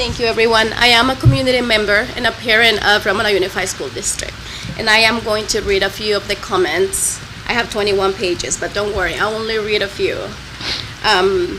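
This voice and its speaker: A woman's shaky, fairly high voice at a moderate pace, with noticeable background noise. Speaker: public commenter, parent. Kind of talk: public comment reading aloud. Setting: school board meeting. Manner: shaky voice.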